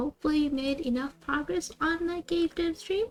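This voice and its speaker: Soft-spoken, a woman talks with ordinary pitch variation over noticeable background noise. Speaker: streamer. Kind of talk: live stream chat. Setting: live stream. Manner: soft ASMR-style voice.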